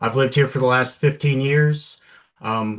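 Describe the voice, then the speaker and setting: The man has an unremarkable speaking voice with fairly even intonation. He talks at a moderate pace against a quiet background. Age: 50s. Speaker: local election candidate. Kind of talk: campaign opening statement.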